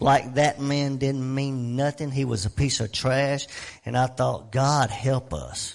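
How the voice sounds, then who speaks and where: This man has an ordinary speaking voice, medium in pitch, delivered at a fairly slow pace with fairly even intonation. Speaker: pastor. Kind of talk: prayer and announcements. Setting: church.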